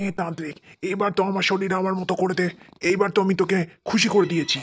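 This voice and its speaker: In a cartoonish character voice at a middle pitch, the speaker rattles along at a very fast pace. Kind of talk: horror cartoon. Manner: impatient, harsh.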